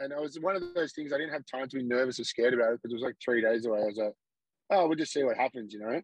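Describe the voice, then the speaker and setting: Talking at a very fast pace, a man speaks with an Australian accent. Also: medium pitch for a man, ordinary pitch variation. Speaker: Muay Thai fighter. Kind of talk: casual chat. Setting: remote call from the roadside.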